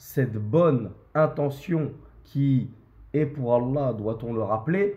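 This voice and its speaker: A somewhat breathy man's voice at a very slow pace, fairly high in pitch with ordinary pitch variation, amid audible room echo. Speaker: imam and religious teacher. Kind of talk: religious lecture.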